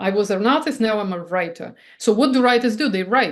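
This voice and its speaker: With a non-native accent, a woman speaks at a fairly high pitch with ordinary pitch variation. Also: quiet background. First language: not English. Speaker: artist and writer. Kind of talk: interview. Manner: halting, with restarts; animated.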